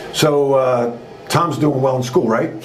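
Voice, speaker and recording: At a moderate pace, a man with a Long Island accent speaks amid noticeable background noise and audible room echo. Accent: New York (Long Island) American. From US Northeast, Long Island, New York. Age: 60s. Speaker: former basketball coach and business trainer. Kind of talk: interview storytelling. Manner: animated.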